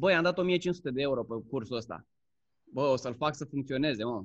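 A man's voice with ordinary pitch variation. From Romania. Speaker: Amazon seller and course instructor. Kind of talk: casual interview chat.

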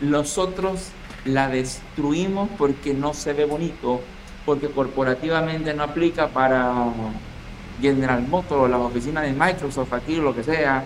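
Over noticeable background noise, a man talks at a fairly slow pace in a fairly high pitch with ordinary pitch variation. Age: 40s. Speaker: electromechanical engineer. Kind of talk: casual interview chat.

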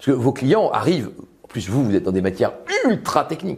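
A man speaks at a fairly quick pace. His pitch sits fairly high for a man. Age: 50s. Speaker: lawyer and public speaking author. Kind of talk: talk to an audience. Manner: animated.

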